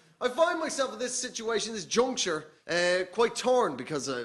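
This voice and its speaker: A man with an Irish accent speaks at a moderate pace with very wide pitch swings. Noticeable background noise runs underneath. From Ireland. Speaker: comedian. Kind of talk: stand-up. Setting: stage with audience.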